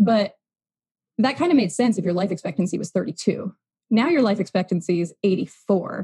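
In a dry, close recording with no echo, a woman at medium pitch speaks at a moderate pace with a dark, mellow tone and vocal fry. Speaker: human design guide. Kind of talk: casual interview chat. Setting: video call.

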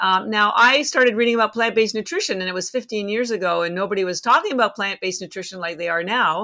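Bright and sharp in tone, a woman talks at a very fast pace. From Canada. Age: 60s. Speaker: company founder and algae expert. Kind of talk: casual interview chat.

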